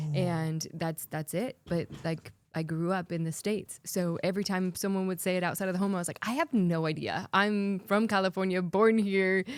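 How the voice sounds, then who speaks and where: With a slight English accent, a woman speaks at a moderate pace and medium pitch, her intonation fairly even and her speech hardly pausing. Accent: subtle English. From US West Coast (Oregon). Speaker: former pageant queen and anti-trafficking advocate. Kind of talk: interview podcast.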